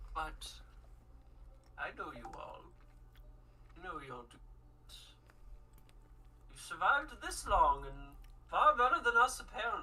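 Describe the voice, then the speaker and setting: A woman's put-on character voice, high-pitched, at a fairly slow pace with long, frequent pauses. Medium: actual play.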